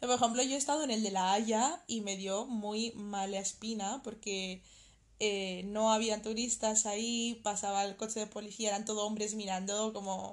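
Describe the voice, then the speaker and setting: On a very clean recording with a silent background, a woman speaks in a plain, everyday voice, pitched fairly high, at a moderate pace with fairly even intonation. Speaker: podcast co-host. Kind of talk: casual chat.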